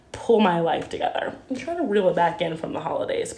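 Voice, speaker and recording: There is noticeable background noise and audible room echo as a woman speaks at a moderate pace. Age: 20s. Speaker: vlogger. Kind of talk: casual video journal. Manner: filler-heavy, says um a lot.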